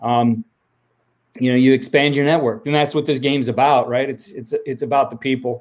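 Speaking at a fairly quick pace with an American accent, a man has a normal speaking voice at a medium pitch. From Ohio. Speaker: football coach and podcaster. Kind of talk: interview.

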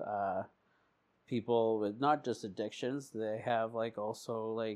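A man with a Canadian accent speaks at a medium pitch with fairly even intonation. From Canada, Alberta (adopted from India at five). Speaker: person in addiction recovery, peer support worker. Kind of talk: personal recovery testimony. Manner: halting, many fillers.

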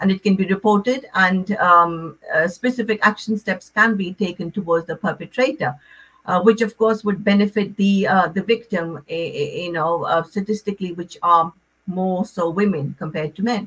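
With a plain, everyday voice, this woman talks at a moderate pace, her medium pitch showing ordinary variation. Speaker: relationship counsellor. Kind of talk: radio interview.

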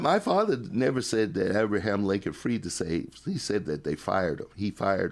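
A man speaks with vocal fry on a very clean recording with a silent background. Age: 60s. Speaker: minister and professor. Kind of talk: casual interview chat. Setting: studio.

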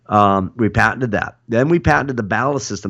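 With an unremarkable speaking voice, a man speaks at a medium pitch and with lively intonation. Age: 50s. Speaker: podcast host and boat builder. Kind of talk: casual chat.

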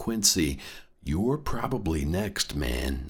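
Very slowly and with lively intonation, a man with a very deep, low pitch and vocal fry speaks in a very clean recording with a silent background. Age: 30s. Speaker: podcast host. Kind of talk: comedic monologue. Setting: studio.

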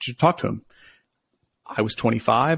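A man with a plain, everyday voice, medium-pitched and fairly quick, on a very clean recording with a silent background and a dry, close sound free of echo. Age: 30s. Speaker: private equity investor. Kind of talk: interview.

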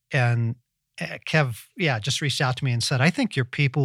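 A normal speaking voice with ordinary pitch variation, in a dry, close sound with no echo. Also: man. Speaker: podcast host. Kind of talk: casual interview chat. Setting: remote call with guest.

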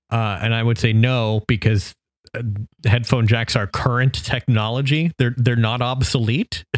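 A man with a medium pitch speaks at a fairly slow pace, with very even loudness and fairly even intonation. It is a plain, everyday voice, with a dry, close sound with no echo. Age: 30s. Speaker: podcast co-host. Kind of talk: casual chat.

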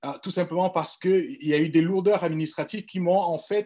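Recorded very cleanly against a silent background, a man talks at a high pitch with ordinary pitch variation. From Cameroon. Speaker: forum panelist. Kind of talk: panel discussion.

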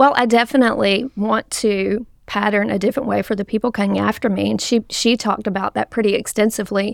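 A woman with an American accent speaks at a very fast pace with hardly any pauses, a fairly high pitch, vocal fry and fairly even intonation. The sound is dry and close, with no echo. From US South, mountains of South Carolina. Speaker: campus pastor. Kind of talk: casual podcast discussion. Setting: studio.

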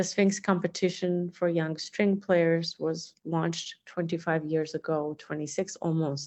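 Fairly low in pitch, a woman speaks at a fairly slow pace with hardly any pauses and monotone, flat intonation. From Azerbaijan. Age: 40s. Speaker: arts organization president and violinist. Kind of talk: interview.

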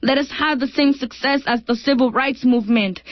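The speech keeps a moderate pace with fairly even intonation. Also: woman. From El Salvador. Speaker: poet. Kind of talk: poetry reading.

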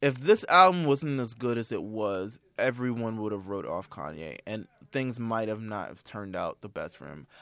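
On a very clean recording with a silent background, a man with an unremarkable speaking voice talks at medium pitch and moderate pace, hardly pausing, his intonation lively and his loudness swinging widely. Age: 20s. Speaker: podcast host. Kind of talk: casual chat. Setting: studio.

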